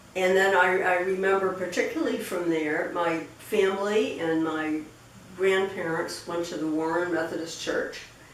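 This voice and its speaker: With an American accent, a woman talks at a moderate pace and medium pitch with fairly even intonation, amid noticeable background noise and audible room echo. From Rhode Island, US New England. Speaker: interviewee recounting family history. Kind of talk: oral history interview. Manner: halting, many fillers and repetitions.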